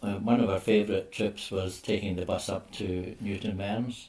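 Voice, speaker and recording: The voice is somewhat breathy and moves at a moderate pace. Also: man. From Scotland, Glasgow. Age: 80s+. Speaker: oral history interviewee. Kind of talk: oral history interview.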